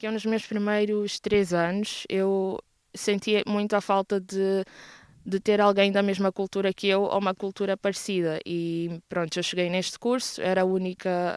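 A woman's medium-pitched, monotone voice with flat intonation, dry and close with no echo, at a moderate pace over a quiet background. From Mozambique, Maputo. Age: 20s. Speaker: university student. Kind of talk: interview.

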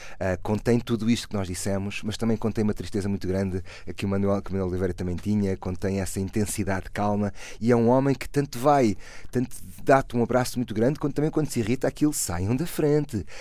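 Talking at a very fast pace, a man has a fairly low pitch, a dark, mellow tone and ordinary pitch variation, captured in a very clean recording with a silent background. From Portugal. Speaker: actor. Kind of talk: interview. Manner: halting.

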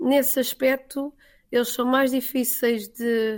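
A woman with a high pitch talks in fairly even intonation on a very clean recording with a silent background. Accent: Lisbon. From Portugal, Lisbon. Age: 40s. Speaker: emigrant teacher. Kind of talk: interview.

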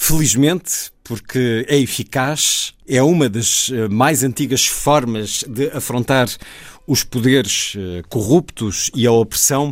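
Speaking at a very slow pace, a man of medium pitch shows ordinary pitch variation. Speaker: radio host. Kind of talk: radio interview.

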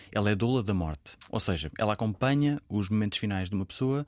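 Using a plain, everyday voice, a man with fairly low pitch talks at a fairly quick pace with lively intonation. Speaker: author. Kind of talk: casual chat.

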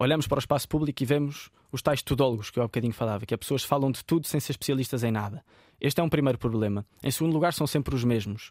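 On a very clean recording with a silent background, a man speaks at a very fast pace in a medium-pitched voice with ordinary pitch variation, the sound dry and close with no echo. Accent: European Portuguese. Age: 20s. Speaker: football coach and sports commentator. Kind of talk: interview. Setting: radio studio.

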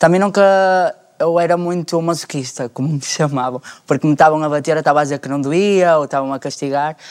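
Against a very clean recording with a silent background, a man with a plain, everyday voice talks at a fairly quick pace and a fairly high pitch with fairly even intonation. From Portugal, Porto. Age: 20s. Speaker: panel guest. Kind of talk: casual chat.

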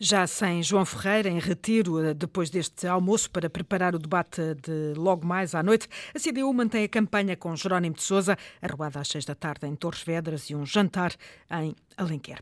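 A woman with a European Portuguese accent speaks at a fairly low pitch with ordinary pitch variation. The sound is dry and close with no echo, in a very clean recording with a silent background. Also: moderate pace. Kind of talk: news reading.

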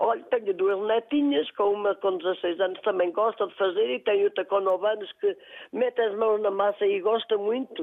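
A woman with a normal speaking voice and a fairly high pitch talks at a moderate pace with ordinary pitch variation and hardly any pauses. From Portugal, Castro Daire (Viseu district). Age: 50s. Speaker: shop owner and regional sweets baker. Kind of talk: casual chat.

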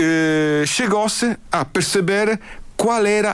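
A man speaks with an Italian accent. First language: Italian (speaking Portuguese). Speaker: artistic director of an early music ensemble. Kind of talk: radio interview. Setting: radio studio. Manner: halting.

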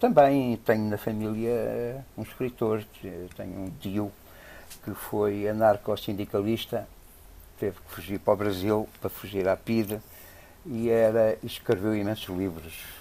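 At a fairly slow pace, a man with a dark, mellow tone and a fairly low pitch speaks with big swings in loudness and long, frequent pauses. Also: fairly even intonation. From Angola (Lunda Norte), then Portugal. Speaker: jazz programmer and festival director. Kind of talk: interview. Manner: hesitant, many fillers.

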